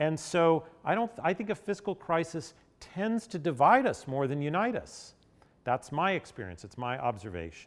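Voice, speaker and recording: A man with an American accent talks at a moderate pace in a high pitch, his voice making very wide pitch swings. The recording is very clean, with a silent background. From Nashville, Tennessee (US South). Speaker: health policy expert. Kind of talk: lecture.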